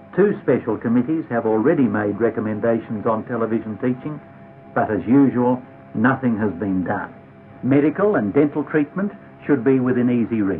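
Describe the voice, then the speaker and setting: A man talks at a moderate speed over background music. His voice rises and falls across a very wide range. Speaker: politician. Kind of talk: political speech to camera.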